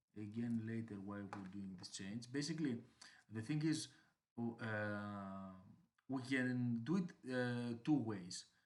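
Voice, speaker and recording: A man with a non-native accent at a very slow pace, medium pitch and ordinary pitch variation. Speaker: software developer. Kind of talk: screencast tutorial narration. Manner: hesitant, many fillers.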